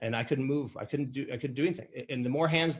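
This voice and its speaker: Very fast in pace, a man speaks with a fairly high, somewhat breathy voice and ordinary pitch variation. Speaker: business opportunity presenter. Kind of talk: sales pitch. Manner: halting.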